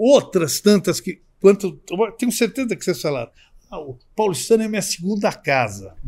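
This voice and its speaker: A high-pitched male voice at a moderate pace, with lively intonation and big swings in loudness. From Brazil, São Paulo. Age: 60s. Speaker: social club vice-president. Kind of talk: podcast interview. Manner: halting, with many repetitions.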